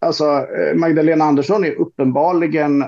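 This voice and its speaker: A man's dark, mellow tone at a moderate pace. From Sweden, Roslagen (Stockholm region). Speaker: social democratic politician and author. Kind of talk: casual podcast discussion.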